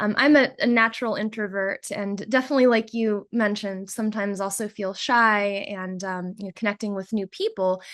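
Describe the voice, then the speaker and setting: With hardly any pauses, a woman at medium pitch talks in an unremarkable speaking voice against a quiet background. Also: fairly quick pace. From United States. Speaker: volunteer coordinator. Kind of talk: presentation.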